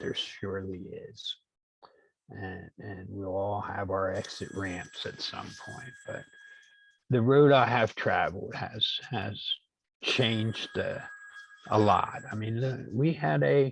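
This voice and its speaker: A somewhat breathy man with an American accent, medium pitch, ordinary pitch variation, big swings in loudness, a very slow pace and long, frequent pauses. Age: 60s. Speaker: workshop participant. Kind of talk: online workshop discussion. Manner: halting, repeats words.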